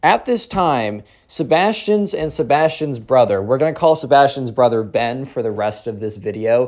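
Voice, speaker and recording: On a very clean recording with a silent background, a man with a plain, everyday voice talks at a moderate pace with lively intonation and hardly any pauses. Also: medium pitch for a man. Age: 20s. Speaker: storytime youtuber. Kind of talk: storytelling. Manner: casual, slangy.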